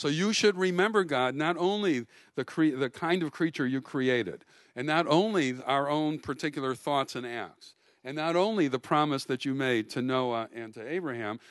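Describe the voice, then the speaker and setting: Over a quiet background, a man with a fairly high pitch talks at a moderate pace with lively intonation. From US Midwest, Milwaukee. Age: 60s. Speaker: rabbi and lecturer. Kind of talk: lecture. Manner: halting, frequent fillers and repeats.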